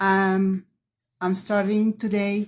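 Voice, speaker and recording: The speaker is a woman with a medium pitch. Her voice is somewhat breathy. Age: 50s. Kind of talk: personal video testimony. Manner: halting, word-searching.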